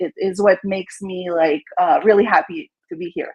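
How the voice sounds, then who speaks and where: A woman speaks with a slight French Canadian accent. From Quebec, Montreal. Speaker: real estate agent. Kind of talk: casual interview.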